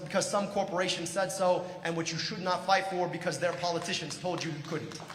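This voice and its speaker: A high-pitched man with an American accent at a fairly quick pace, with audible room echo and noticeable background noise. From Michigan, US. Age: 40s. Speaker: political candidate. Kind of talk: political speech. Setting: stage with audience. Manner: animated.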